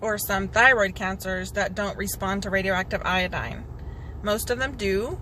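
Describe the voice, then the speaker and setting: Over audible room echo, a woman's medium-pitched voice carries a bright, sharp tone, vocal fry and fairly even intonation. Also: moderate pace. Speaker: cancer patient vlogger. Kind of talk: personal video update. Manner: halting, with many fillers.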